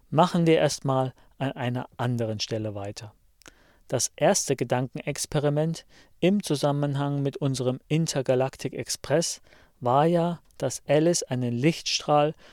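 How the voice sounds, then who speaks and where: An ordinary speaking voice with ordinary pitch variation moves at a fairly slow pace in a dry, close sound with no echo, on a very clean recording with a silent background. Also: man. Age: 50s. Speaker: science podcaster. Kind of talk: scripted lecture.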